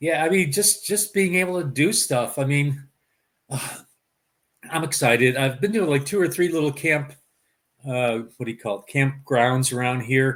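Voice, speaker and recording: Pausing long and often, a man with an American accent speaks at a moderate pace and a fairly high pitch, his intonation lively. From US Midwest, Chicago. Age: 60s. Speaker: interviewee, carnivore diet vlogger. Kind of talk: casual interview. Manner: halting, many fillers.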